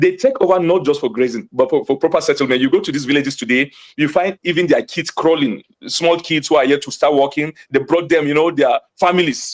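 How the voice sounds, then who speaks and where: This speaker talks at a fairly quick pace with a Nigerian accent and an animated tone. The pitch varies an ordinary amount, and the sound is dry and close with no echo. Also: man, fairly high pitch for a man. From Nigeria, Jos (Plateau State). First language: Hausa. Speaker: community spokesman on TV news. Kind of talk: TV news interview.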